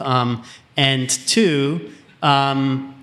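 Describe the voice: Medium-pitched male voice with a fairly bright tone and an Austrian accent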